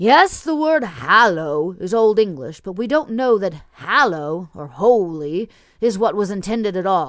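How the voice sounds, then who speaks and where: A put-on character voice is pitched in the middle range. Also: moderate pace. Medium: read story. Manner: dry, condescending.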